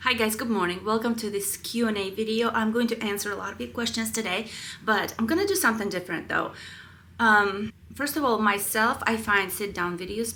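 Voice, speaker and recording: A woman speaks fairly quickly with a Russian accent, her pitch fairly high and her tone bright and sharp. Room echo is audible. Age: 30s. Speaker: family vlogger. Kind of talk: voiceover Q&A. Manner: casual, chatty.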